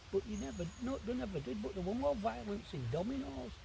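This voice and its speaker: At a moderate pace, a man speaks in a high voice with very wide pitch swings. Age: 60s. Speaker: wild camping vlogger. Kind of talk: casual monologue to camera. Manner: rambling, conversational.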